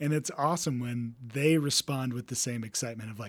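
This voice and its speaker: A man with an American accent has an ordinary speaking voice at a medium pitch, with ordinary pitch variation. He talks at a moderate pace on a very clean recording with a silent background. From Texas. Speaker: race director and ultrarunner. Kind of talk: casual interview chat.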